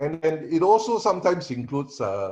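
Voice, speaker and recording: A man's dark, mellow, somewhat breathy voice at a moderate pace, with lively intonation over a quiet background. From Singapore. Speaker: panelist, assessment and training consultant. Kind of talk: online panel presentation. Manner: halting, many fillers.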